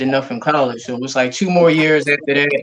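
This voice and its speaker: A man speaks at a fairly quick pace in a normal speaking voice. His pitch sits fairly high for a man. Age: 40s. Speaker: podcast co-host. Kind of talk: casual chat.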